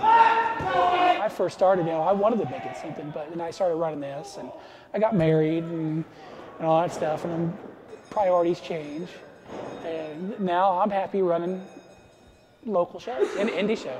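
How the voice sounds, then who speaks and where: Amid audible room echo and noticeable background noise, a high-pitched man speaks at a moderate pace with ordinary pitch variation, big swings in loudness and long, frequent pauses. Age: 30s. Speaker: wrestling promoter. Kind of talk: documentary interview.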